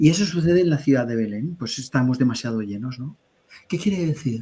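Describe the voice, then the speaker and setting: This man has a medium pitch, a somewhat breathy voice, lively intonation and a fairly quick pace. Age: 60s. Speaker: spiritual teacher. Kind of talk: webinar conversation. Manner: halting.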